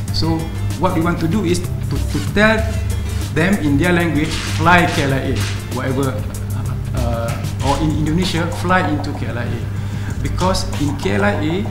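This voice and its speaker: At a moderate pace, the voice is heard alongside clear music in the background. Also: man. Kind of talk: interview answer. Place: hall. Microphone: podium.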